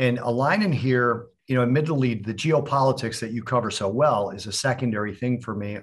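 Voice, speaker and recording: A man talks at a fairly quick pace. His is an unremarkable speaking voice at medium pitch. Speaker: podcast co-host. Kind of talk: casual interview.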